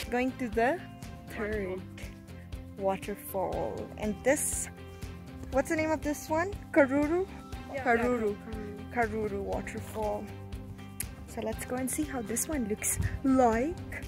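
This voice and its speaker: Clear music plays behind a woman whose dry, echo-free voice breaks into long, frequent pauses. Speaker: travel vlogger. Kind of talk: casual vlog chat. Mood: cheerful, excited. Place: waterside. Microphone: phone near.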